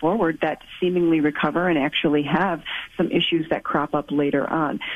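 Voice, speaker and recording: A woman with an ordinary speaking voice and a fairly low pitch talks at a moderate pace. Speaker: infectious disease physician. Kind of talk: radio call-in Q&A.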